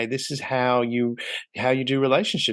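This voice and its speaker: Fairly quick speech from a man with an Australian accent, medium-pitched and fairly even in intonation, against a quiet background. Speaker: podcast host.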